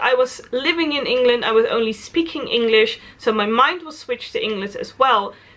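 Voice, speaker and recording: At a moderate pace, the voice in a Dutch accent makes very wide pitch swings. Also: woman. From Netherlands. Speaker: travel vlogger. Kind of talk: casual vlog monologue.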